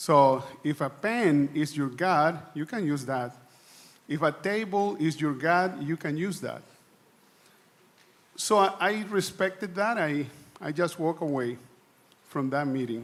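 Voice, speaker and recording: A man speaks fairly slowly with a non-native accent and a fairly high pitch. He leaves long, frequent pauses. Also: ordinary pitch variation. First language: not English. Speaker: church delegate. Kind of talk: assembly floor speech. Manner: halting, repeats words.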